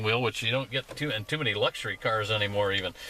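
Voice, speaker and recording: A man talks at a very fast pace with ordinary pitch variation. Noticeable background noise can be heard. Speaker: car reviewer, automotive editor. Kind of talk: casual car review to camera.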